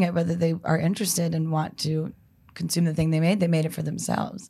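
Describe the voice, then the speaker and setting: A fairly low-pitched, somewhat breathy woman at a fairly quick pace, in a very clean recording with a silent background. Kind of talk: casual chat.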